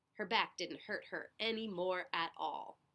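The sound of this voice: A bright, sharp tone at a fairly slow pace. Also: woman.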